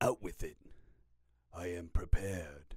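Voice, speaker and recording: A man whispers in a raspy put-on character voice at a moderate pace. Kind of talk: character voice impression. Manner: whispery.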